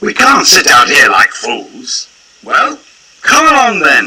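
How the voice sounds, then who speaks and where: Using a put-on character voice, a man speaks at an extremely high pitch and a fairly slow pace. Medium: short film.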